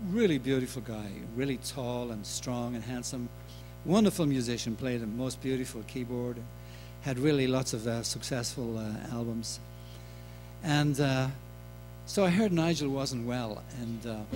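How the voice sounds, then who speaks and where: A man with a Dublin accent, medium in pitch with ordinary pitch variation, at a moderate pace with long, frequent pauses, plus audible room echo and music in the background. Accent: Dublin Irish. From Ireland, Dublin. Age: 60s. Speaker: singer-songwriter. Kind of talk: concert stage talk. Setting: stage with audience. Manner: halting.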